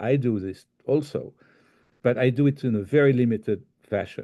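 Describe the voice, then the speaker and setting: Against a quiet background, a man with a French accent speaks at a medium pitch, his dark, mellow tone carrying lively intonation. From France. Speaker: life coach. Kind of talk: recorded talk. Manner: halting.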